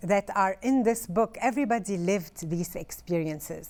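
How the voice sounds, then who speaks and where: A woman's medium-pitched voice with a Lebanese accent, fairly slow pace and ordinary pitch variation, in a very clean recording with a silent background. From northern Lebanon. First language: Arabic. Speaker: author. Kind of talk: interview. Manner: halting.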